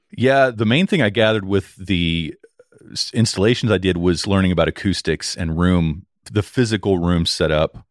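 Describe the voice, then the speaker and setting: A man with a booming, very deep, low voice talks at a moderate pace with ordinary pitch variation and big swings in loudness, the sound dry and close with no echo on a very clean recording with a silent background. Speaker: audio engineer and podcast producer. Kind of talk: casual interview. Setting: live audio-room recording.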